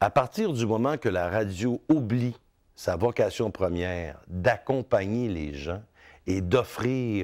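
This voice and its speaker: A man with a Quebec accent speaks at a very slow pace, his pitch fairly low. His intonation is lively against a quiet background. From Quebec, Outaouais (Hull). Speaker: radio host. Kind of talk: interview. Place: studio. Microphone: lapel.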